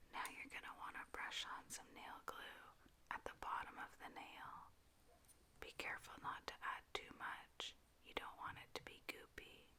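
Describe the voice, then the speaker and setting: A woman whispers with long, frequent pauses, keeping a moderate pace. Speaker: ASMR creator. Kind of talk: ASMR tutorial. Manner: soft-spoken, whispered.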